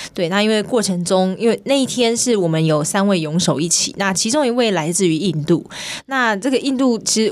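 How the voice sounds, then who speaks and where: A woman's normal speaking voice, medium in pitch, with lively intonation and a fairly quick pace. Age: 20s. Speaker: swimming coach and open-water swimmer. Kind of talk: radio interview.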